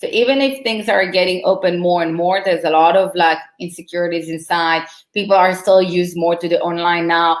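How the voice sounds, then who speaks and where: This woman has an Israeli accent and a fairly low pitch. Her intonation is fairly even, and she moves at a fairly quick pace. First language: Hebrew. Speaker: marketing consultant. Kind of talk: casual chat.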